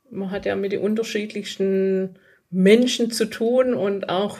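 At a fairly slow pace, a woman with a medium pitch and fairly even intonation speaks in an unremarkable speaking voice. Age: 40s. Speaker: business owner of electrical installation firm and coach. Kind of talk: casual interview. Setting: in person at guest's office.

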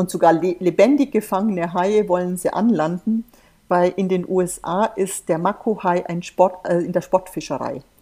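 This woman speaks at a moderate pace with a medium pitch and a dark, mellow tone. Her pitch rises and falls in an ordinary way. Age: 50s. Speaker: volunteer shark conservationist and pharmacist. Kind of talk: interview. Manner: animated.

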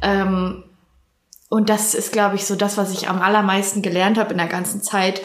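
In a room with audible echo, a woman talks at a moderate pace and medium pitch. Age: 20s. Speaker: university student. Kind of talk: casual chat.

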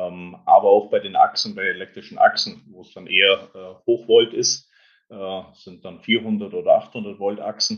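A man talks fairly slowly, his loudness rising and falling in big swings. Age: 50s. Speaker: electrification executive at an auto supplier. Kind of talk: interview. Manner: halting, many filler sounds.

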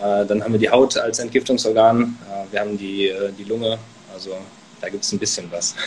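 Noticeable background noise sits behind the voice. The delivery is monotone and flat at a moderate pace, with long, frequent pauses. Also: man, medium pitch for a man. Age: 20s. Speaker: author and medical student. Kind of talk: casual interview. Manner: many filler words.

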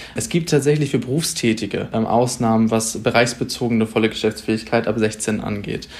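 Over noticeable background noise, a man at medium pitch speaks at a moderate pace with fairly even intonation and hardly any pauses. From northern Germany, Pinneberg district near Hamburg. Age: 20s. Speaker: young party politician, local councillor. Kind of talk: podcast debate. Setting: remote recording.

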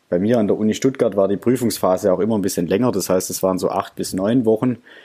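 Fairly quick and fairly low, a man's voice has a dark, mellow tone and fairly even intonation. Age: 20s. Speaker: engineering graduate, student podcaster. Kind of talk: casual interview.

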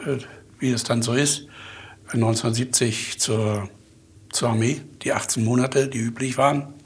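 A somewhat breathy voice with fairly even intonation at a fairly slow pace. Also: man. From Mecklenburg, Germany. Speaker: company owner and chemist. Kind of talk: interview.

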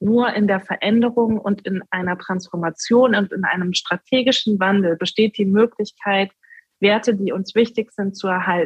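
At a medium pitch, a woman talks in a normal speaking voice. She keeps a moderate pace with fairly even intonation. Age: 30s. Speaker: sustainable finance executive and political candidate. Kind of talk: interview.

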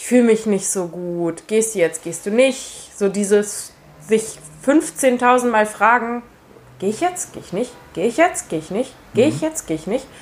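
A woman speaks at a moderate pace with a fairly high pitch. Her loudness swings a lot and her pitch swings very widely. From Hesse, Germany (Marburg). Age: 20s. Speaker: calisthenics athlete. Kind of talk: interview.

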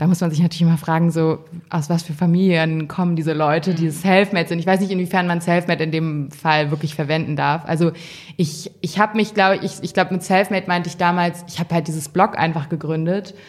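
At a very fast pace, a woman with a fairly low pitch talks in a monotone, flat intonation. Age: 20s. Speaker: fashion editor. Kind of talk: interview. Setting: magazine office.

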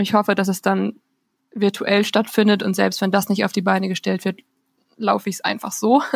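A woman's medium-pitched voice at a moderate pace, monotone and flat with vocal fry, broken by long, frequent pauses in a dry, close sound with no echo. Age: 20s. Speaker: student intern. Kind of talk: casual chat. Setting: remote recording.

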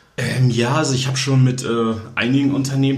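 The delivery is monotone and flat, with audible room echo and noticeable background noise. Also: man. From northern Germany, Kiel. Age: 20s. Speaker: fashion blogger. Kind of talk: interview. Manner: hesitant, many filler sounds.

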